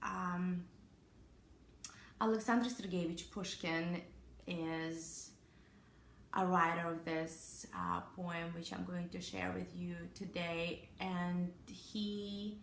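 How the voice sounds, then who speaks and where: Amid audible room echo, a woman talks at a very slow pace with long, frequent pauses, a fairly low pitch and fairly even intonation. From Russia. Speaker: actress. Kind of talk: informal lecture. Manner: halting.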